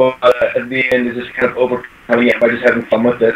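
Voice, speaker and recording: The speaker goes at a fairly quick pace. There is noticeable background noise. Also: man. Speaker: brony video creator. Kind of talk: interview. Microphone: faint echo.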